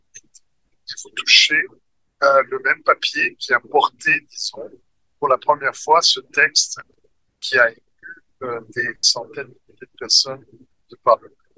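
Delivered at a very slow pace with long, frequent pauses, the speech swings widely in loudness and has a dry, close sound with no echo. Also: man. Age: 60s. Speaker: author and manuscript collector. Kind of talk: interview. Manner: halting, many hesitations.

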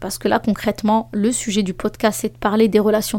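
At a moderate pace, a woman speaks with a medium pitch and a dark, mellow tone. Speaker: life coach and podcast host. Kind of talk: solo podcast monologue with advice. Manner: lively and spontaneous.

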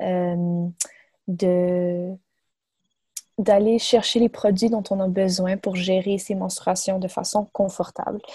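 The sound is dry and close with no echo as a woman speaks in a dark, mellow, somewhat breathy tone. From Quebec, Montreal. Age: 20s. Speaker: medical student and nonprofit co-founder. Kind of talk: interview. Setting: remote call. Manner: halting.

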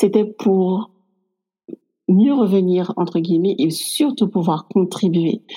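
At a very slow pace, a woman talks with a medium pitch and a dark, mellow tone. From Guadeloupe. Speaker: clinical psychologist. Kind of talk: casual interview conversation.

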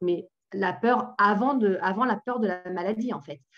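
With ordinary pitch variation, a woman talks in a plain, everyday voice. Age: 40s. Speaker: reader asking questions. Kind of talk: audience question.

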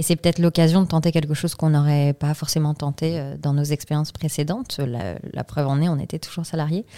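Very deep and low in pitch with a dark, mellow tone, a woman talks at a very fast pace with fairly even intonation in a dry, close sound with no echo. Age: 30s. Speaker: CSR consultant, company co-founder. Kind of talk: interview.

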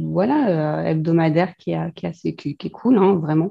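Over a quiet background, a woman speaks in a fairly low, somewhat breathy voice with a dark, mellow tone. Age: 30s. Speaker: student of an interior design course. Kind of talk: casual chat.

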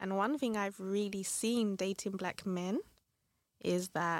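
At a fairly slow pace, a woman speaks with a London accent. Her medium-pitched voice has fairly even intonation and a dry, close sound with no echo. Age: 30s. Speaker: podcast guest. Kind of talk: casual chat.

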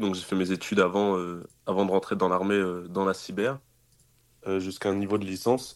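On a very clean recording with a silent background, a man with a normal speaking voice and fairly low pitch talks at a fairly quick pace. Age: 20s. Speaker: military cybersecurity specialist. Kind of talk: casual interview. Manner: casual, filler-heavy.

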